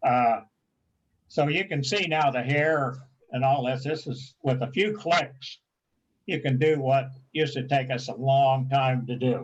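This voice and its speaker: Somewhat breathy and medium in pitch, a man speaks at a fairly slow pace with ordinary pitch variation and long, frequent pauses. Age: 80s+. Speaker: photography club presenter. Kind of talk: tutorial.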